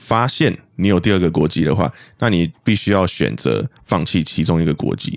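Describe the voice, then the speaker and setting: A man talks with a very deep, low pitch and vocal fry. His intonation is lively and his loudness very even. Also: moderate pace. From Malaysia. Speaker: podcast guest. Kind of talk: casual chat.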